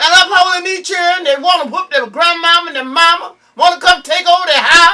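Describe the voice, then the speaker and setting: A woman projects her voice at an extremely high pitch, talking at a moderate pace in an animated tone. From US South, Georgia. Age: 70s. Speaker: cook and candy maker. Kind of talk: casual chat. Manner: animated, repetitive stammering.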